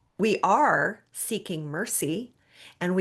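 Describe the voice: The passage is read out plainly.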